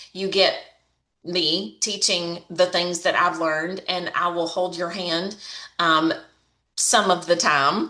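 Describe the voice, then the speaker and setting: A woman speaks with a Southern accent at a very slow pace, leaving long, frequent pauses. Her pitch is fairly low. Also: fairly even intonation. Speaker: online marketing coach. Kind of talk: tutorial. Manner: casual, chatty.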